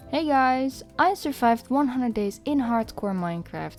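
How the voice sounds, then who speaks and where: Music plays in the background while a woman speaks. Her pitch swings very widely. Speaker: gaming YouTuber. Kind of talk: gameplay voice-over narration. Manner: casual, hesitant.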